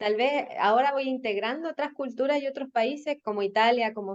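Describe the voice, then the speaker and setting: A woman speaks at a moderate pace in a Chilean accent. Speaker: marketing and communications professional. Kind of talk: podcast interview.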